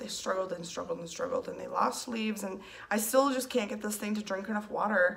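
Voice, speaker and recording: Noticeable background noise runs under this recording. A woman speaks at a medium pitch with ordinary pitch variation. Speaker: plant collector vlogger. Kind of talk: casual chat.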